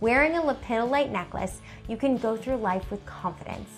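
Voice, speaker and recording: Faint music plays behind a woman speaking at a high pitch. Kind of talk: informational presentation. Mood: warm, smiling. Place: home room.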